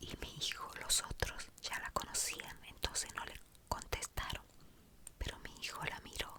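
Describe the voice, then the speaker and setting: A woman's whisper comes at a fairly slow pace, and there is noticeable background noise. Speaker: ASMR creator. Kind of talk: casual talk to camera. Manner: whispered, soft-spoken.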